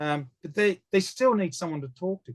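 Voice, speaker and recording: The speaker has an Australian accent and lively intonation. The sound is dry and close, with no echo. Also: man. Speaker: founder of an online legal-rights community. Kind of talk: casual interview chat. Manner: loud.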